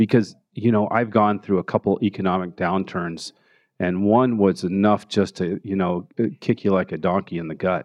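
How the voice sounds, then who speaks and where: Speaking at a moderate pace with fairly even intonation, a man uses an ordinary speaking voice with a fairly low pitch and an American accent. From Denver, Colorado (Park Hill). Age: 50s. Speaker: art gallery owner and author. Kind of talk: interview. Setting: live recording before an audience.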